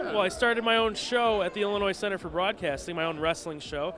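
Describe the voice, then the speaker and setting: Over background music, a man with a high pitch talks at a very fast pace with ordinary pitch variation. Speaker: sports radio show host and interviewer. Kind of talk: casual interview questions.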